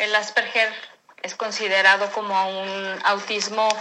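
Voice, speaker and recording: Very slowly and in a flat monotone, a woman speaks at a medium pitch. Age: 40s. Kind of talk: interview. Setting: remote recording.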